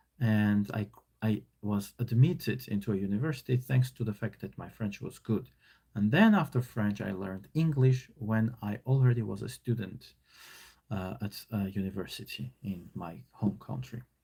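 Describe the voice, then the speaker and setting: Speaking at a moderate pace with an Armenian accent, the voice is somewhat breathy and has lively intonation. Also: man, fairly low pitch for a man. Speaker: online teacher. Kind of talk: live stream reading and commentary. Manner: casual, hesitant with fillers.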